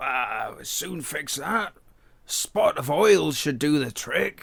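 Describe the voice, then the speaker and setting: A man puts on a character voice that is raspy and fairly high in pitch. He speaks at a very slow pace. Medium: read story. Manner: easygoing, reassuring.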